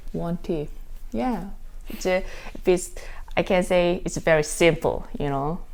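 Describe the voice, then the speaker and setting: In a Korean accent, a woman speaks at a fairly low pitch and a fairly slow pace with ordinary pitch variation and long, frequent pauses. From South Korea, Daegu. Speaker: dancer. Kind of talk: casual interview. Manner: halting.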